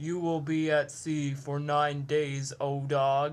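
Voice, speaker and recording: At a low-to-middle pitch, a put-on character voice speaks with monotone, flat intonation at a very slow pace. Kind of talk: comic overacting. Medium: comedy sketch. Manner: heckling, exaggerated.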